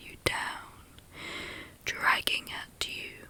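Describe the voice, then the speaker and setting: A very slow whisper over noticeable background noise. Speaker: ASMR meditation guide. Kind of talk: guided meditation. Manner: whispered, soft-spoken, slow.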